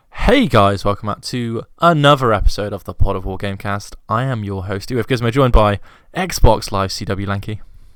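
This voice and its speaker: A man with a British accent talks at a fairly quick pace in a fairly low voice, with ordinary pitch variation and big swings in loudness. The recording is very clean, with a silent background. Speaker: podcast host. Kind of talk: casual chat.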